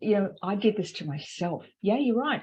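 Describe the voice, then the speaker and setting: A woman talks at a very fast pace with lively intonation and a fairly high pitch. Her voice is somewhat breathy. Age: 60s. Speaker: wellness coach. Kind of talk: panel discussion.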